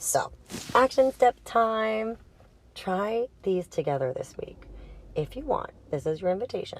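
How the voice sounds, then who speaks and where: A woman with a strong Boston accent talks at a fairly slow pace with a fairly high pitch. Her pitch swings very widely, and she takes long, frequent pauses. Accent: heavy Boston. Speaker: sex and intimacy coach. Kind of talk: casual educational monologue. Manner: casual, conversational.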